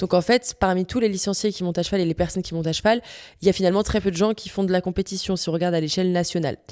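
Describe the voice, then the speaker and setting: Speaking very fast, a woman with a Parisian accent keeps a medium pitch and fairly even intonation. The recording is very clean with a silent background. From France, Paris. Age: 20s. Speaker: podcast host, equestrian rider. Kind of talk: casual monologue podcast. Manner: casual, with many fillers (euh).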